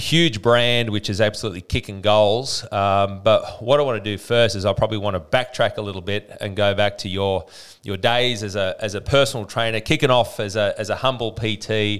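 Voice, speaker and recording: Using an Australian accent, a man with a fairly low pitch talks at a fairly quick pace, with fairly even intonation and hardly any pauses. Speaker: podcast host, fitness business coach. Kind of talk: interview.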